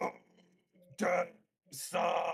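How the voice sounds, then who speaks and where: A man's raspy, put-on character voice. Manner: roaring.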